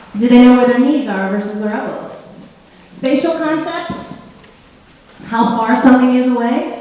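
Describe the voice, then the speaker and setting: Noticeable background noise and audible room echo surround a woman speaking at a high pitch. Her tone is animated, with ordinary pitch variation. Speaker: presenter at a school for the blind. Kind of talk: workshop presentation. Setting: room with live audience and sign interpreter. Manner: fast.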